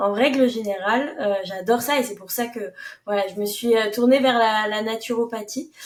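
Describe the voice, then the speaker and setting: A woman's fairly high voice at a moderate pace, with fairly even intonation and big swings in loudness. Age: 20s. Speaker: naturopath. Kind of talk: podcast interview. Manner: hesitant, many fillers.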